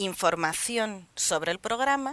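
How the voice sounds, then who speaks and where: Bright and sharp in tone, a woman with a non-native accent speaks at a fairly slow pace with ordinary pitch variation and a dry sound with no echo. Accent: noticeable foreign accent in Spanish. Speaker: social media advisor; interview guest. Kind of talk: studio interview. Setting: TV studio with cameras. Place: studio. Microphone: headset.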